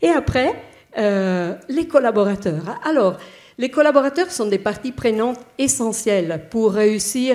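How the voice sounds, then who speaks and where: With an Italian accent, a woman talks at a very slow pace, her intonation lively. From Italy. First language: Italian (speaking French). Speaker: bank HR director, panelist. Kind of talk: panel discussion. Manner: halting, many hesitations.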